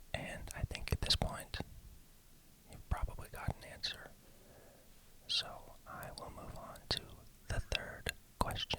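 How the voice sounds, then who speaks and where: Whispering in a gentle tone, a man leaves long, frequent pauses while his loudness swings widely. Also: fairly slow pace. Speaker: ASMR creator. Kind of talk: ASMR personal questions, whispered talk to listener. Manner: gentle, whispered, soft-spoken.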